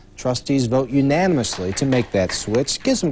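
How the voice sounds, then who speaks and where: At a fairly quick pace, a man talks in an unremarkable speaking voice with medium pitch. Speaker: local TV news anchor. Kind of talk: news reading. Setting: studio.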